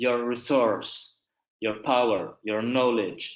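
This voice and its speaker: A man with a medium-pitched voice speaks at a fairly slow pace. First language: not English (third language). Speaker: human rights lawyer. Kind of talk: webinar presentation and Q&A. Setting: online webinar.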